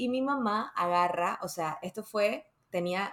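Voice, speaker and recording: Using a plain, everyday voice, a woman speaks with ordinary pitch variation. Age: 30s. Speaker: podcast host. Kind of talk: casual chat.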